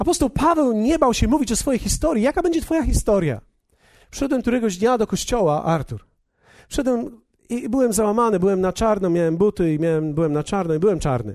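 Over a quiet background, a man talks at a very fast pace, his pitch high with very wide swings. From Poland. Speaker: pastor. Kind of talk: sermon.

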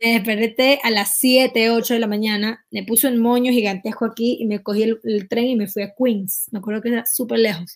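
A woman with a fairly high pitch speaks at a moderate pace with hardly any pauses. It is a plain, everyday voice with fairly even intonation. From Ecuador. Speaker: singer. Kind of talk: interview.

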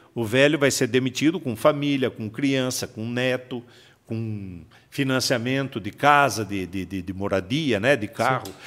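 A man with an unremarkable speaking voice, medium in pitch, ordinary pitch variation, a fairly slow pace, and a very clean recording with a silent background. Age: 60s. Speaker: bank workers' union president. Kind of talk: casual interview.

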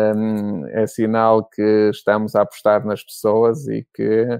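A man speaks in an ordinary speaking voice. His pitch is fairly low and his intonation fairly even. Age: 40s. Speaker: business executive. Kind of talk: interview.

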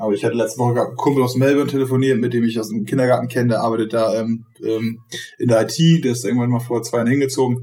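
A man races along at a very fast pace, holding a medium pitch with fairly even intonation. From northern Germany, Schleswig-Holstein. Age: 30s. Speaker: startup operations manager. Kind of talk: casual interview.

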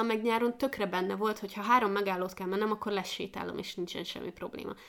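Fairly high for a woman, her voice runs very fast with fairly even intonation. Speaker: podcast co-host. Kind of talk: casual chat.

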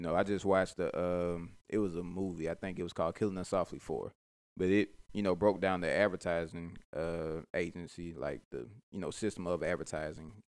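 This very clean recording has a silent background. A man with a very deep, low pitch talks at a fairly quick pace with fairly even intonation. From Mobile, Alabama. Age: 20s. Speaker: podcast host and mental health professional. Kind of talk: casual chat.

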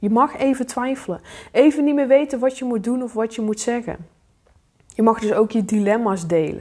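A dark, mellow tone with ordinary pitch variation. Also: woman. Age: 20s. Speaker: life coach. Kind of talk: solo podcast monologue.

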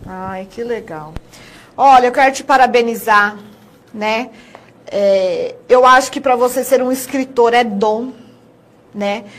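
A woman with a high voice speaks very slowly, leaving long, frequent pauses. Her pitch varies in an ordinary way while her loudness swings widely. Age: 30s. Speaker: TV presenter. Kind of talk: TV interview.

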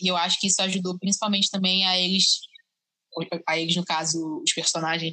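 A woman speaks at medium pitch with a bright, sharp tone. Her intonation stays fairly even at a moderate pace. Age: 20s. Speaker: biomedicine student. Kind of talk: casual chat. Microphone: audio problems.

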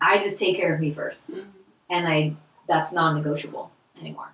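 A woman with an American accent speaks in a fairly low pitch with ordinary pitch variation and an unremarkable speaking voice. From California. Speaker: essential oils business owner. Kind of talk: casual chat. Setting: roundtable recorded in person.

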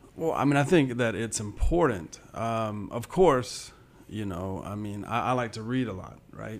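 Audible room echo surrounds a man with a fairly low pitch. He speaks at a fairly slow pace. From US South, southwest Georgia. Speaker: history professor. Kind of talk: interview.

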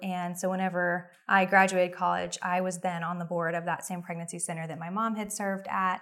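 Here a woman speaks with an American accent at medium pitch. Her tone is bright and sharp, on a very clean recording with a silent background. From Oklahoma. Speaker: pro-life ministry leader and adoptive mother. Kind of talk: interview.

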